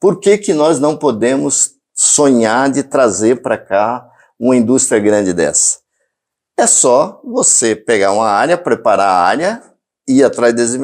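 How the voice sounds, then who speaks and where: Pitched at a medium level, a man speaks at a fairly slow pace with very wide pitch swings on a very clean recording with a silent background. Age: 60s. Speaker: mayoral candidate. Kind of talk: interview.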